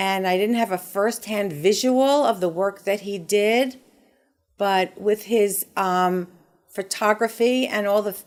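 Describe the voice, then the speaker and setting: Against a silent background on a very clean recording, a woman talks in an ordinary speaking voice at a medium pitch and fairly slow pace. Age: 60s. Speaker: patient. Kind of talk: testimony.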